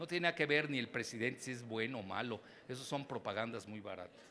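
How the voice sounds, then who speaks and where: A man is talking. His voice has a bright, sharp tone. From Mexico. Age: 70s. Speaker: geopolitics analyst and professor. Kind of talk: keynote lecture.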